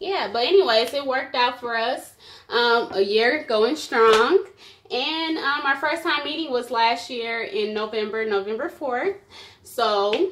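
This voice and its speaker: Here a woman with an American accent speaks in a high pitch with lively intonation. Her pace is fairly slow. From US Midwest. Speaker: vlogger. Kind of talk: casual chat. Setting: at home on camera. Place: home room. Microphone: phone near.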